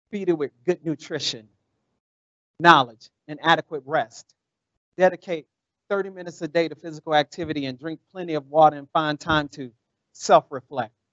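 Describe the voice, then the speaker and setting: At a moderate pace, a man with a fairly high pitch and fairly even intonation talks with big swings in loudness and long, frequent pauses. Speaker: motivational speaker. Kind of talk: spoken word poem, rhythmic inspirational delivery with repeated refrain. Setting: virtual event, video call. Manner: measured, rhythmic cadence; earnest, uplifting, motivational.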